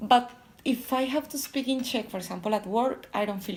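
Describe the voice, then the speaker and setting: The voice is somewhat breathy with ordinary pitch variation, on a very clean recording with a silent background. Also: woman. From Colombia, Bogota. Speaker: electrical engineer in sales. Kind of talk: interview. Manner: halting.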